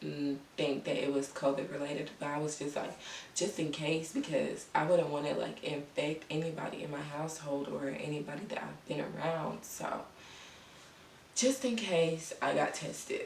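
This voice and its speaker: Against noticeable background noise, a woman talks in a very deep, low pitch. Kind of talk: casual talk to camera. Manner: slow.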